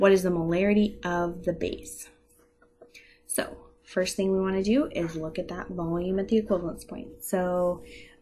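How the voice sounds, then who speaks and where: A woman speaks in a fairly low pitch with fairly even intonation. Audible room echo surrounds her voice. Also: moderate pace. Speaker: chemistry teacher. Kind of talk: lecture.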